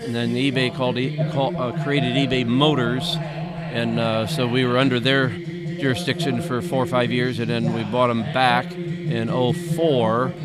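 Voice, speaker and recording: Over background music and audible room echo, a man with a medium-pitched voice talks at a fairly slow pace with ordinary pitch variation and hardly any pauses. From Northeast Indiana, US Midwest. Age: 70s. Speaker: former auctioneer and state senator. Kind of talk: interview.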